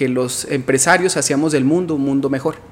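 An unremarkable speaking voice from a man, fairly high in pitch and fairly even in intonation, at a moderate pace. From Mexico, Guadalajara, Jalisco. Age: 30s. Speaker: entrepreneur and motivational speaker. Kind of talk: interview. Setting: studio.

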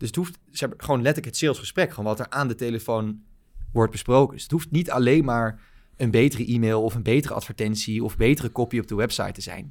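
At a very fast pace, the speech shows big swings in loudness on a very clean recording with a silent background. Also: man, medium pitch for a man, ordinary pitch variation. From Netherlands, Baarn (province of Utrecht). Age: 20s. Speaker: growth marketing agency founder. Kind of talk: interview.

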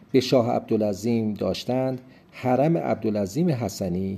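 The voice has a dark, mellow tone. It moves at a fairly slow pace. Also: man. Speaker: travel podcast host. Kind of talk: scripted narration. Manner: formal.

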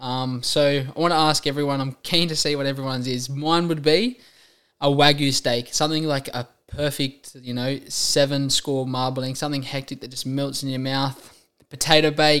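The delivery is monotone and flat, moving at a moderate pace. The recording is very clean, with a silent background. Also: man. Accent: Australian. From rural New South Wales, Australia. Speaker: fitness trainer and podcast host. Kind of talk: casual monologue. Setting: solo recording. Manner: casual, many filler ums.

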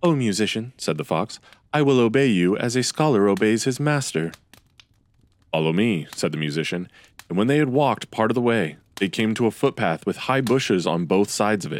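A man talks at a fairly quick pace with fairly low pitch, lively intonation and a normal speaking voice. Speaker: podcast host reading classic tales. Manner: storyteller's calm, measured pace, with a shift in tone for each character's dialogue.

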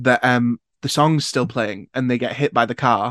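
Recorded very cleanly with a silent background and a dry, close, echo-free sound, a man of medium pitch speaks at a moderate pace in a flat monotone. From northern England, near Sunderland. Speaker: actor and podcaster. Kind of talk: casual chat.

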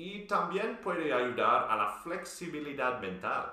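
At a very slow pace, a man speaks with noticeable background noise and audible room echo. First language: English (speaking Spanish). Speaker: Spanish learner, video presenter. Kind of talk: scripted dialogue.

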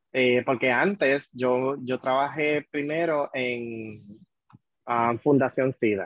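At a very slow pace, a man talks with medium pitch and fairly even intonation. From Puerto Rico, Vega Alta. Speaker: HIV prevention worker. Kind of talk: casual chat.

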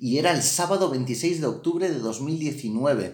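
A man speaks with lively intonation. The room echo is audible. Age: 30s. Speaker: podcast host. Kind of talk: casual chat. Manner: animated.

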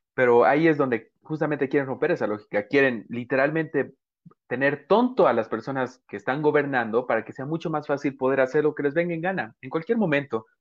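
At a fairly quick pace, a man with a plain, everyday voice talks at a fairly high pitch with ordinary pitch variation. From Bolivia. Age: 20s. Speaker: podcast host. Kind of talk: interview conversation.

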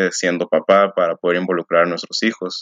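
A man is speaking. His pitch is very deep and low. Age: 20s. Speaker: eco-parenting social media creator. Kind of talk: interview.

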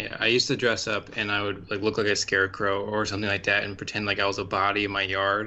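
Speaking at a very fast pace with hardly any pauses, a man keeps a flat monotone at a fairly low pitch. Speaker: podcast co-host. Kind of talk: casual chat.

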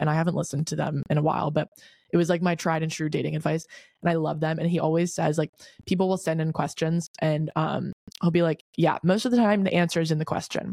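Talking at a very fast pace with an American accent, a woman has a very deep, low pitch and fairly even intonation in a dry, close sound with no echo. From Delaware, US. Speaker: podcast host. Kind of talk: casual chat, solo podcast. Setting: hotel room recording. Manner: uses filler words, slight stutter.

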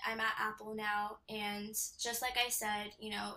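Speaking in a Californian accent, a woman uses a fairly high pitch and monotone, flat intonation. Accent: Californian American English. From Southern California, Temecula. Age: 20s. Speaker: compliance specialist. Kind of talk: interview.

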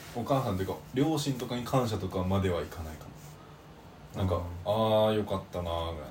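Audible room echo surrounds a man speaking at a very fast pace with lively intonation. His pitch is fairly low, and his voice is somewhat breathy. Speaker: podcast co-host, university student. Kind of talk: casual chat.

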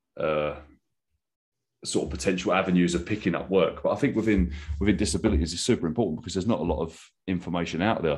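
A man with a southern English accent and a very deep, low pitch talks at a very fast pace. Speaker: podcast host and adaptive trainer. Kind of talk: interview.

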